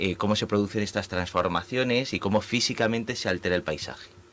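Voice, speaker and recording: A man speaks with a Spanish accent at a moderate pace. His pitch varies in an ordinary way. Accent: Spanish (Spain). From Spain. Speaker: urban planning professor. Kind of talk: radio interview. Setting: radio studio. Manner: halting, many fillers.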